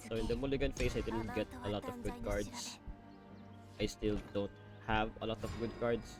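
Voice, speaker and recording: A man speaks with long, frequent pauses. Music plays in the background. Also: moderate pace. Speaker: card game player. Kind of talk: gameplay commentary. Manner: casual.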